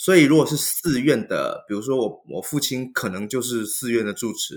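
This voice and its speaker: A man speaks in a plain, everyday voice at a moderate pace with ordinary pitch variation. The recording is very clean, with a silent background. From Taiwan. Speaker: Buddhist monk. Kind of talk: interview conversation.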